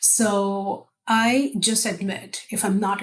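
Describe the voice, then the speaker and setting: Speaking at a medium pitch, a woman has a non-native accent. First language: not English. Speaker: technical account manager. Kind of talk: casual interview chat.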